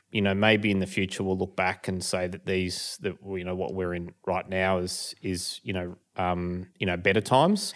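A man with an Australian accent speaks at a moderate pace in a very deep, low voice. The recording is very clean, with a silent background. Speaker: hay business owner. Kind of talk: casual chat.

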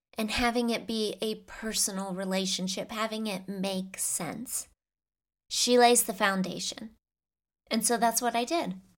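A woman with a fairly high pitch speaks in a warm, animated tone with ordinary pitch variation. The recording is very clean, with a silent background. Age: 40s. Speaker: faith podcast host. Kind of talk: personal faith monologue.

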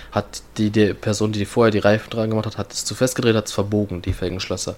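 Talking at a very fast pace, a man uses a fairly low, monotone voice with flat intonation. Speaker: podcast host. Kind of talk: casual chat.

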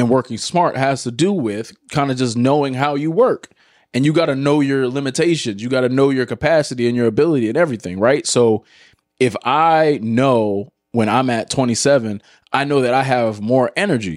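A man talks at a moderate pace and medium pitch in an unremarkable speaking voice, with ordinary pitch variation. The recording is very clean, the background silent. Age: 20s. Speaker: podcast host and former athlete. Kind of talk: casual chat.

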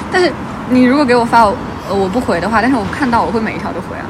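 Over noticeable background noise, the speaker goes at a very fast pace in an animated tone. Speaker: podcast host. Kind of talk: casual chat. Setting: outdoors by the roadside at night. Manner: animated, with tipsy outbursts.

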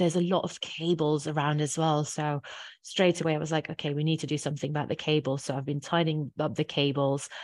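A woman's very deep, low voice, delivered at a very fast pace in a monotone, flat intonation. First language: not English. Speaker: office manager. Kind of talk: casual interview.

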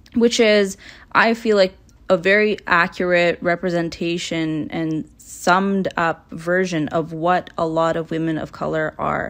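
A woman with a Canadian accent and a plain, everyday voice, pitched fairly low, talks at a fairly slow pace with ordinary pitch variation in a very clean recording with a silent background. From Toronto, Canada. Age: 20s. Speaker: podcast host. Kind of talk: casual monologue. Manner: relaxed, laid back.

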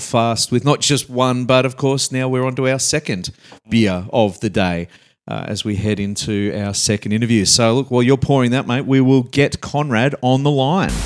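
A man's plain, everyday voice at medium pitch and a moderate pace, with ordinary pitch variation on a very clean recording with a silent background. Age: middle-aged. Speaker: podcast co-host. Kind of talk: casual chat.

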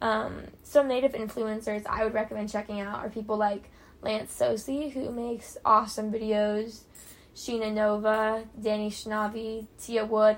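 A woman's fairly high, monotone voice with flat intonation, an American accent and a fairly slow pace, on a very clean recording with a silent background. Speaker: podcaster. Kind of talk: casual monologue. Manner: hesitant, many fillers.

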